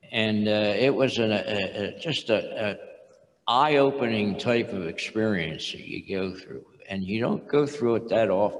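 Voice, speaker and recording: Audible room echo and noticeable background noise surround this recording. A man speaks at a medium pitch and a fairly slow pace, with ordinary pitch variation. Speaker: retired industrial engineer and churchman. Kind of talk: testimony interview. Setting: stage with audience.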